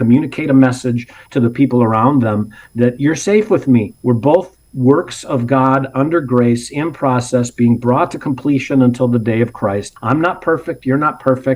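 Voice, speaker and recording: An unremarkable speaking voice, this man's medium pitch carries ordinary variation at a moderate pace with hardly any pauses. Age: 60s. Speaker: parenting ministry co-founder. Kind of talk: interview. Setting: podcast.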